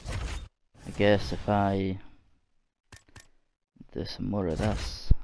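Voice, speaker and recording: A man speaks at a very slow pace with long, frequent pauses. His pitch is fairly low, with ordinary variation. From Scotland. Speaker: gamer. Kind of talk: casual gameplay commentary.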